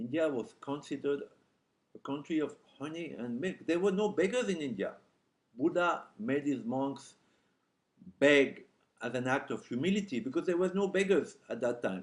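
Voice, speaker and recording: This man talks with a French accent and lively intonation at a moderate pace. He leaves long, frequent pauses. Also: fairly high pitch for a man. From France. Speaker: journalist. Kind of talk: speech. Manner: halting.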